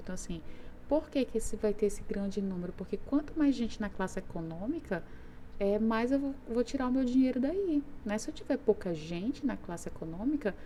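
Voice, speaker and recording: The voice is somewhat breathy with a dark, mellow tone, lively intonation, and a moderate pace. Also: woman. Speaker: teacher. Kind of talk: lecture.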